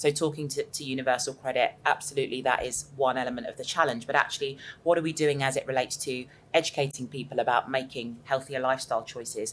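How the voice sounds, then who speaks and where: Talking at a very fast pace, a woman with a southern English accent uses a very deep, low pitch and a flat, monotone intonation. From southern England. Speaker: panel speaker. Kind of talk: panel discussion.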